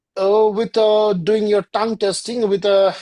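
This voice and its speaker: At a moderate pace, a woman speaks in a dark, mellow tone with a Bengali accent. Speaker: yoga and ayurveda teacher. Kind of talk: lecture.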